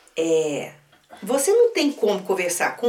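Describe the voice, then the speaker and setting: A woman talks fairly slowly while noticeable background noise carries on behind her. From Minas Gerais, Brazil. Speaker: storyteller and writer. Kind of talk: interview conversation, teaching talk. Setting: recording studio with others at night, filmed.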